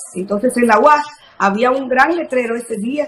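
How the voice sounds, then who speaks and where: A woman speaks in a high voice with a Dominican accent and ordinary pitch variation. Noticeable background noise runs underneath. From Dominican Republic, Sabaneta. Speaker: journalist. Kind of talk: interview.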